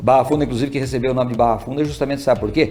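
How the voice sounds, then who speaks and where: Music plays in the background as a man speaks at a very fast pace. His medium pitch shows ordinary pitch variation. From Paraná, Brazil (Apucarana area). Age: 60s. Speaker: guest, father of a court official, community association member. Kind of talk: casual interview chat.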